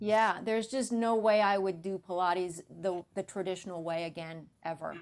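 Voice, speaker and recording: A woman has a normal speaking voice. She talks at a moderate pace with fairly even intonation. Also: medium pitch for a woman. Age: 60s. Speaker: Pilates instructor. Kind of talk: interview.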